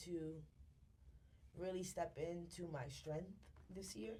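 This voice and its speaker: A woman with a dark, mellow tone and a fairly low pitch speaks at a fairly slow pace, with audible room echo around her. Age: 20s. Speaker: content creator and entrepreneur. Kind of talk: casual chat. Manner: halting.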